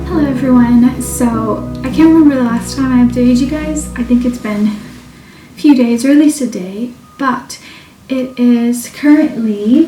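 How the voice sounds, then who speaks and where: A woman speaks at a moderate pace, her high pitch showing ordinary variation, with noticeable background noise behind her. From Portugal. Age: 20s. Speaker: book reviewer. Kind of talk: casual talk to camera.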